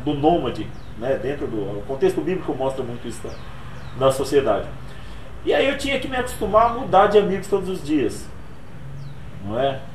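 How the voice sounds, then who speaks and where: A man speaks with an audible room echo. Background noise is noticeable. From Brazil, Pernambuco (Altinho), moved to São Paulo at 10. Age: 40s. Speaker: motivational speaker and author. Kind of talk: interview. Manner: casual.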